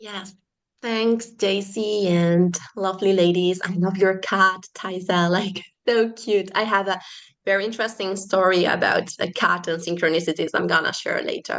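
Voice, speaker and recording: The speaker has a Spanish accent. The intonation stays monotone and flat. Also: woman, medium pitch for a woman, moderate pace. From Spain. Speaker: holistic therapist. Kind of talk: casual chat. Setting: video call.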